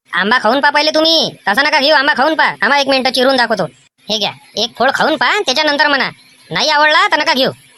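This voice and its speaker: Putting on a character voice, a woman uses a high pitch and a sing-song delivery at a fairly quick pace, her loudness very even. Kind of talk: rustic comic cartoon voice. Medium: cartoon. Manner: loud, rhythmic sing-song sales patter.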